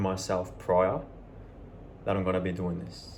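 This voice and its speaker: A man's voice is heard with audible room echo. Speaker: self-help vlogger. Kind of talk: motivational monologue.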